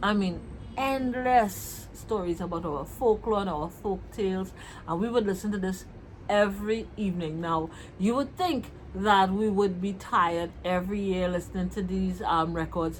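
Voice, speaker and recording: In a Trinidadian accent, the speaker talks at a moderate pace in a somewhat breathy voice with ordinary pitch variation. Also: woman, medium pitch for a woman. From Trinidad and Tobago. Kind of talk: casual vlog talk to camera.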